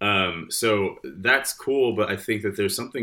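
A man with an American accent talks at a fairly quick pace in a bright, sharp tone with ordinary pitch variation, on a very clean recording with a silent background. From Michigan, Detroit area. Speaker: real estate agent and musician. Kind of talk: casual chat.

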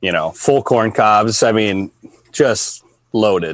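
With a normal speaking voice, a man with an American accent talks in a fairly low pitch and fairly even intonation, recorded dry and close with no echo. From Minnesota. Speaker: deer hunter and hunting content creator. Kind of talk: casual interview chat.

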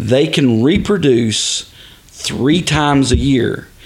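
With a Texan accent and lively intonation, a man talks over noticeable background noise. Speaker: father of host, hunter. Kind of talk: casual chat.

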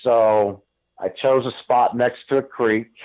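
Using an ordinary speaking voice at medium pitch, a man talks with fairly even intonation. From Northeast Ohio. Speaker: elk hunter, construction worker. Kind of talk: interview. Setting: phone call.

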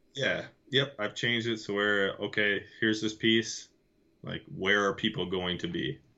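With an American accent, a man speaks at a moderate pace in a fairly low voice with ordinary pitch variation. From Michigan. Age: 30s. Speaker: bowhunter, Navy veteran. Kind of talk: casual chat.

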